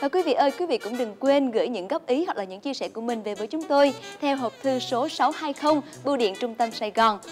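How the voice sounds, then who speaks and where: A woman speaks at a high pitch and a fairly quick pace. Faint music plays in the background. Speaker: TV cooking show host. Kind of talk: TV presenter address to viewers. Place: studio. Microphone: lapel.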